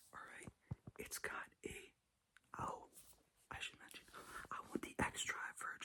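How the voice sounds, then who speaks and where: A man whispers at a fairly slow pace. His tone is relaxed. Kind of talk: casual talk to camera about cars. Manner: whispered, relaxed.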